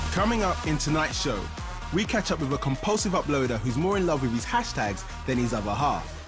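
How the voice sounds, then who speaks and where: With music in the background, a fairly high-pitched man speaks at a fairly quick pace, his pitch swinging very widely while his loudness stays very even. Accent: East London. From East London. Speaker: continuity announcer. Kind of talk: TV continuity announcement.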